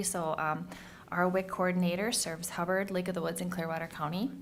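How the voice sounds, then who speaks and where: With an American accent, a woman speaks at a fairly quick pace in a fairly low pitch and fairly even intonation, with audible room echo. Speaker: public health official. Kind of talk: annual report presentation. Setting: county board meeting. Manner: fast; halting, many fillers.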